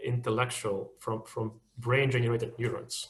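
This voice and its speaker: A somewhat breathy man talks at a fairly quick pace with a Russian accent. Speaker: machine learning engineer, webinar speaker. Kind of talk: webinar talk, Q&A discussion. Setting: online webinar. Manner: halting, many repetitions and fillers.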